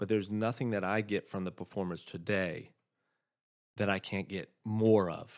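The recording is very clean, with a silent background. A man talks at a moderate pace with a fairly low pitch and fairly even intonation. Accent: American. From US South. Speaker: opera singer. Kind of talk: casual chat. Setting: studio.

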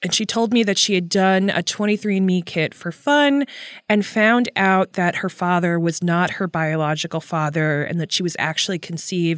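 A woman's unremarkable speaking voice at medium pitch, with ordinary pitch variation, a moderate pace, and a very clean recording with a silent background. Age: 30s. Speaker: journalist and podcast host. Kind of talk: interview.

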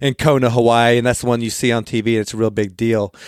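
A medium-pitched man in a dry, close sound with no echo. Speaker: podcast host, construction background. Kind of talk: interview. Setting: remote recording. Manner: halting, many fillers.

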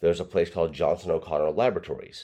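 A man with a Tennessee accent speaks against a quiet background. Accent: Southern US (Tennessee). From East Tennessee, US South. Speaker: broadcast engineer and former TV meteorologist. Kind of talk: casual interview.

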